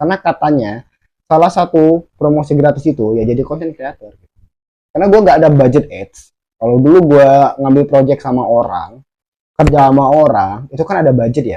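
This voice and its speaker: A man with a slight Javanese accent talks at a fairly quick pace in a fairly high-pitched voice with a dark, mellow tone and ordinary pitch variation. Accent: slight Javanese accent picked up. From Sumatra, Indonesia (village). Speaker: vlogger. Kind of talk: casual vlog monologue. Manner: halting, stumbling.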